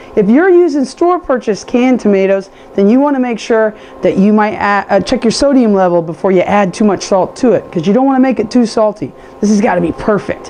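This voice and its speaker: Over noticeable background noise, a woman speaks very fast with an animated tone. Her loudness stays very even at a fairly high pitch. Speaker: cooking show host. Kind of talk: cooking tutorial. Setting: home kitchen with camera person.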